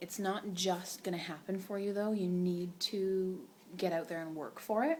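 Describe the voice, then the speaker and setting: A woman speaks at medium pitch and moderate pace with fairly even intonation. Background noise is noticeable. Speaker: direct sales consultant vlogger. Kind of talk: casual vlog talk. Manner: quiet, soft-spoken; rambling, many fillers.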